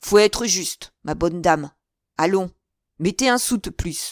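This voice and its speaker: Someone growls through a put-on character voice. The pace is moderate. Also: female-sounding voice, medium pitch for a woman. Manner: unemotional, flat.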